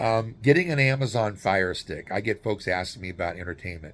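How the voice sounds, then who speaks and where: A man with an American accent, a normal speaking voice of fairly low pitch, a moderate pace and ordinary pitch variation, on a very clean recording with a silent background. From US Southwest, New Mexico. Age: 60s. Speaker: YouTuber and relocation guide. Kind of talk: casual informational vlog. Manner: casual, with frequent fillers and restarts.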